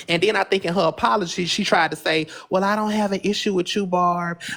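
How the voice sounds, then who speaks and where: Against noticeable background noise, a man with a high pitch speaks in an animated tone at a fairly quick pace. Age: 30s. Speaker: social media livestreamer. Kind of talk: casual chat.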